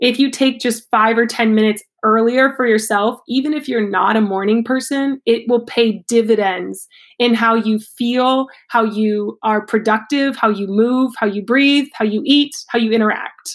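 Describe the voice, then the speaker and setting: With an American accent, a woman talks at a moderate pace, in a fairly high pitch, with hardly any pauses and very even loudness. Hers is an unremarkable speaking voice, on a very clean recording with a silent background. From Ohio, US Midwest. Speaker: yoga teacher and fitness coach. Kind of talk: interview.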